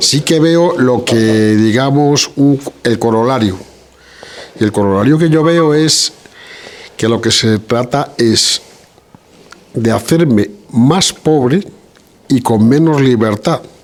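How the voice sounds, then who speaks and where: A man speaks at a very slow pace with long, frequent pauses. His loudness stays very even against noticeable background noise. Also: medium pitch for a man, ordinary pitch variation. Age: 60s. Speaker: audience member. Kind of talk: audience discussion. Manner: hesitant, many fillers.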